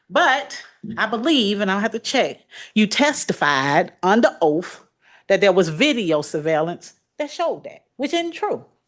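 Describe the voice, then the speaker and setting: A loud woman's voice, fairly high in pitch, with very wide pitch swings. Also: fairly slow pace. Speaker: defense attorney. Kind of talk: courtroom cross-examination. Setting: courtroom.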